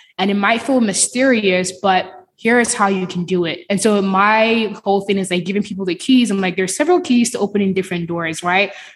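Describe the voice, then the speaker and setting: At a fairly quick pace, a woman speaks with hardly any pauses. Her voice is somewhat breathy, with ordinary pitch variation. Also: medium pitch for a woman. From Nigeria. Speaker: cloud engineer and podcaster. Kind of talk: casual interview.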